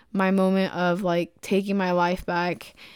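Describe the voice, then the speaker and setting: Medium in pitch, a woman's voice is heard. The recording is very clean, with a silent background. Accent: American. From Texas, Dallas. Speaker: podcast host and entrepreneur. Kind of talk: casual personal monologue. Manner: hesitant with fillers.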